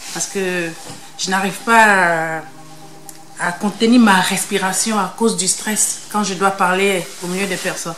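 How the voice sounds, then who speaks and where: The speaker leaves long, frequent pauses over noticeable background noise. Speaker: participant in a social reintegration sports stay. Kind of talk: group feedback testimony. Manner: trying to speak calmly.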